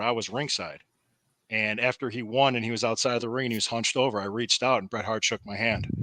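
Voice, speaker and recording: Talking at a fairly quick pace, a man has an ordinary speaking voice of medium pitch with fairly even intonation. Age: 50s. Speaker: former pro wrestler. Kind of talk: casual talk on a podcast.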